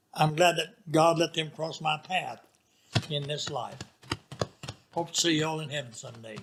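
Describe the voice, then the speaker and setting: Speaking with a Southern US accent, a man keeps a fairly even intonation at a fairly slow pace, with long, frequent pauses. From Arkansas. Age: 90s. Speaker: retired pastor. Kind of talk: interview storytelling.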